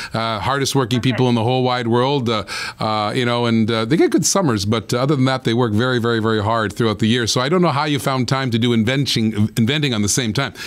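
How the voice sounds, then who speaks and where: Keeping his loudness very even, a man talks at a very fast pace with hardly any pauses. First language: not English. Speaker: show host. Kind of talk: live interview show. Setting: live broadcast from Florida. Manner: animated. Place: studio. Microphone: studio mic.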